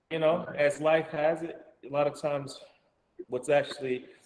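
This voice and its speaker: At a moderate pace, a man talks with an Alabama accent. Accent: Southern US (Alabama). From US South, Alabama. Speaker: actor and storyteller. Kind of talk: casual interview. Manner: halting.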